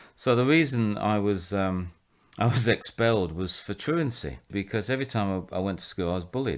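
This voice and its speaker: With a Mancunian accent, a man speaks at a fairly quick pace in a fairly low pitch with lively intonation. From northern England, Salford/Manchester. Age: 60s. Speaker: vicar and rehabilitation director. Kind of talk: interview, personal testimony. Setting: at his home.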